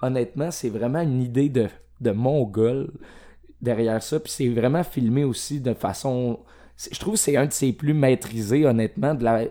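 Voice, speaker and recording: At a moderate pace, a man talks in a dark, mellow tone, medium in pitch with ordinary pitch variation. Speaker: film podcast guest. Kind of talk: casual chat.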